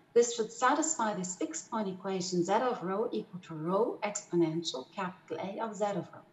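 Over audible room echo, a woman speaks at a fairly quick pace and medium pitch, with lively intonation and hardly any pauses. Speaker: mathematical physicist presenting. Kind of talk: lecture. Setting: video call. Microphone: webcam.

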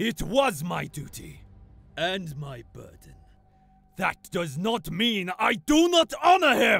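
A man puts on a character voice, pitched high. He talks at a fairly slow pace, with big swings in loudness. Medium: voice reel. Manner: stern, intense.

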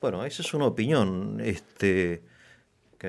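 With vocal fry throughout, a man talks in a very deep, low voice. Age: middle-aged. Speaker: interviewer. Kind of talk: interview. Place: studio. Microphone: studio mic.

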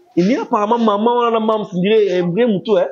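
A man talks fast in a high voice, with ordinary pitch variation.

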